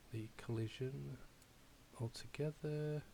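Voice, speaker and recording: Medium in pitch with ordinary pitch variation, a man's voice sounds dark and mellow and somewhat breathy. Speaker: game development tutorial maker. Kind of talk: tutorial. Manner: hesitant, many fillers.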